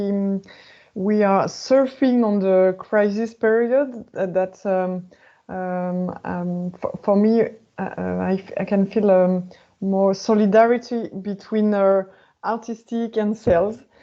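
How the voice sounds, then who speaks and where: A woman speaks very slowly in a French accent. Her pitch is medium and her intonation fairly even. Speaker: opera sales manager. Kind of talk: webinar panel discussion. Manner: halting.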